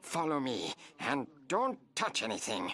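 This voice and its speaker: Using a put-on character voice, a man speaks at a fairly high pitch. His pace is fairly slow. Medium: fan dub. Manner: grave, mysterious.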